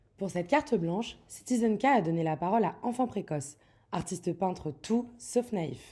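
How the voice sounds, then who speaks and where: With lively intonation and a dark, mellow tone, a woman talks at a moderate pace in a medium pitch, recorded very cleanly against a silent background. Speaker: interviewer. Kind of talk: interview questions.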